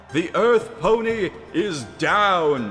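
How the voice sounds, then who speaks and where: Putting on a character voice, a man bellows loudly at a high pitch over clear background noise. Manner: bellowing, loud.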